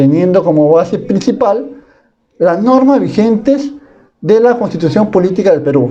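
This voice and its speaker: At a moderate pace, a man speaks high-pitched with very wide pitch swings and very even loudness. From Peru, Piura. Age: 20s. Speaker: university student. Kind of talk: class presentation. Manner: formal.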